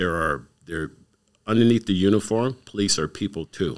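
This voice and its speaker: A man with a Canadian accent talks at a moderate pace with a very deep, low pitch and lively intonation. The recording is very clean, with a silent background. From Canada, Windsor, Ontario. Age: 60s. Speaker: community youth worker. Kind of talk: casual interview.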